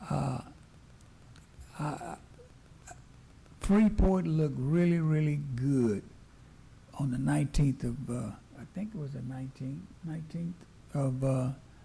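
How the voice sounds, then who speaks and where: Against noticeable background noise, a man with a fairly high pitch and lively intonation speaks at a fairly slow pace, leaving long, frequent pauses. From US South. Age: 70s. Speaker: city council member. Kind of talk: council meeting remarks. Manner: halting, repeats words.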